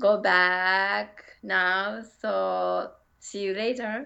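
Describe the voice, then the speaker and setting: She talks at a very slow pace. The speaker is a woman with a Japanese accent. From Japan, Kyoto (Kansai). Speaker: English learner. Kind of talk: casual chat. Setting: video call. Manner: halting.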